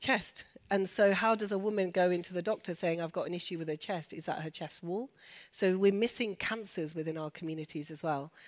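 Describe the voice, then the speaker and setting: In a very clean recording with a silent background, a woman at a medium pitch speaks fairly quickly, with ordinary pitch variation. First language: Urdu and Punjabi. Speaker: doctor and women's health speaker. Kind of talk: panel Q&A discussion. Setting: stage with audience.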